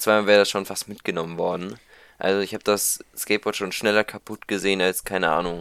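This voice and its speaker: In a very clean recording with a silent background, a man talks at a very fast pace in a fairly low pitch, with fairly even intonation and a dry, close sound with no echo. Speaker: podcast co-host. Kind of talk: casual chat. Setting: home recording at PC. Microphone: new microphone.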